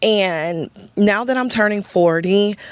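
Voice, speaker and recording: Speaking with a Texan accent, a woman talks at a fairly slow pace. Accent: Texas country. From US South, East Texas (Chapel Hill). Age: 30s. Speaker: content creator. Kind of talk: casual vlog talk to camera.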